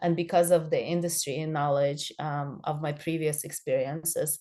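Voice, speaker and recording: Against a quiet background, a woman with a non-native accent speaks in a very deep, low voice with a dark, mellow tone and flat, monotone intonation. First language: not English. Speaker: social media consultant for realtors. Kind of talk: online training presentation. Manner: halting, many fillers.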